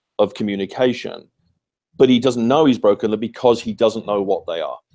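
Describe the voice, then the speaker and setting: In a very clean recording with a silent background, a man speaks with a British accent. His tone is dark and mellow, at a medium pitch. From United Kingdom. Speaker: author and communications consultant. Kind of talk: interview answer.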